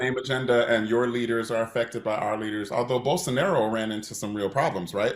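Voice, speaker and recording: Fast and nearly without pauses, a man with an American accent speaks at a very fast pace with a medium pitch and ordinary pitch variation. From USA. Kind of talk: panel discussion.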